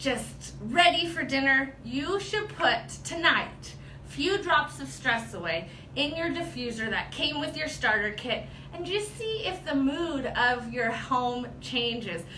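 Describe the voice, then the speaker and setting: Amid noticeable background noise and audible room echo, a woman projects a raised, high-pitched voice very slowly, her pitch swinging very widely. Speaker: product trainer. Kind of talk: tutorial. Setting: livestream video.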